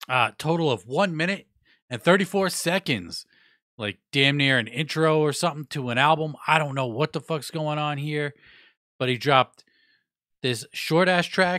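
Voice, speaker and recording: A man's fairly high-pitched voice in a bright, sharp tone, at a moderate pace with ordinary pitch variation, dry and close with no echo, on a very clean recording with a silent background. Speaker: hip-hop music news podcaster. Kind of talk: casual music news commentary. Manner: casual, profane, conversational.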